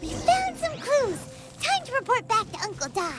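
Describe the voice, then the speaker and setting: An extremely high, put-on character voice speaks at a moderate pace. Clear music plays in the background. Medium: machinima. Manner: excitable, lively.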